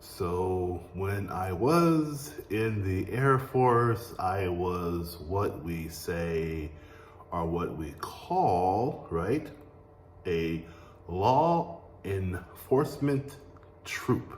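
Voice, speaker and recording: A man with a very deep, low voice talks very slowly but with lively intonation. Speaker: English teacher, Air Force veteran. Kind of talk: language lesson to camera. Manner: slow, clear.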